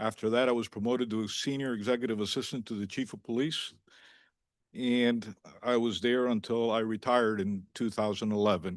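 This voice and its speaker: With fairly even intonation and a fairly quick pace, this is a normal speaking voice. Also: man, medium pitch for a man, quiet background. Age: 60s. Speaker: police chief candidate. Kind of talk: job candidate address at public meeting. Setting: municipal commission meeting. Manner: formal.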